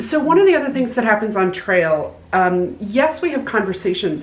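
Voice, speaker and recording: The voice moves at a moderate pace with very wide pitch swings. Noticeable background noise runs underneath. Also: woman. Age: 60s. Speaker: hiker vlogger. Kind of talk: casual chat.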